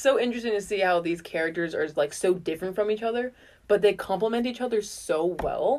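Natural-voiced reading aloud

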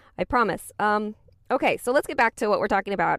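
A woman with a normal speaking voice at a medium pitch, ordinary pitch variation, and a dry, close sound with no echo in a very clean recording with a silent background. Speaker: podcast host. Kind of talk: podcast monologue.

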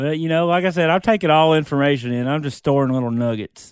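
At a fairly quick pace, an unremarkable speaking voice carries ordinary pitch variation. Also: man. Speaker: podcast guest. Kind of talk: casual chat. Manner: casual, profane.

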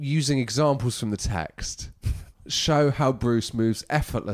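A natural read-aloud voice, pitch rising and falling by ordinary amounts

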